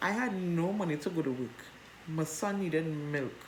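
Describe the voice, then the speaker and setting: Audible room echo surrounds a woman whose animated tone carries lively intonation. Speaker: vlogger. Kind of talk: personal storytelling. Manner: loud.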